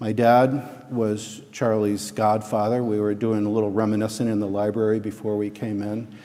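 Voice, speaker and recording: A man with an American accent speaks at a moderate pace in a dark, mellow tone with fairly low pitch. His intonation is monotone and flat, and the room echo is audible. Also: hardly any pauses. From Connecticut, US. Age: 60s. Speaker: eulogist at memorial service. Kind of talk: eulogy; scripture reading. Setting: church. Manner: halting.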